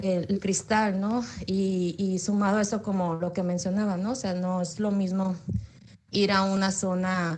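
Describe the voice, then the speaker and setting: Amid noticeable background noise and audible room echo, a woman speaks at a medium pitch and a fairly slow pace. Her intonation is flat and monotone, and her loudness very even. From Baja California, Mexico. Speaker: psychology graduate student. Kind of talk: audience question in online talk. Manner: halting, many fillers.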